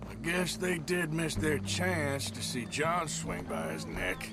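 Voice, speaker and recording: Over loud background music, a man does a put-on character voice at a fairly slow pace. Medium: machinima. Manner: gruff, laconic.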